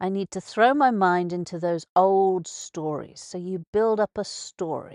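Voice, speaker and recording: A woman with an English accent talks at a fairly slow pace and a medium pitch. The sound is dry and close with no echo, and the background is quiet. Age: old. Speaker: radio host. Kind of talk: casual monologue. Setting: live radio broadcast. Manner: halting.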